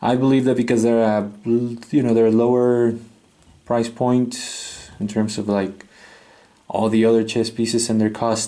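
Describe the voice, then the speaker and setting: Over audible room echo, a man with a non-native accent speaks fairly slowly in a dark, mellow voice with monotone, flat intonation. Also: medium pitch for a man. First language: not English. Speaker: chess set reviewer. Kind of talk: product review. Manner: hesitant, with many fillers.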